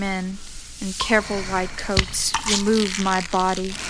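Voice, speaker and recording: A woman talks in a flat monotone over noticeable background noise. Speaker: co-host and co-producer of poetry show. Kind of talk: casual co-hosting banter, intro.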